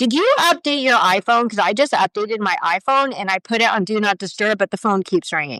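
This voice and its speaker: An animated voice with an American accent moves at a fairly quick pace with lively intonation. The sound is dry and close, with no echo. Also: woman, fairly high pitch for a woman. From United States. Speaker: podcast co-host. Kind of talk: casual chat. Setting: live video stream. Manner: loud.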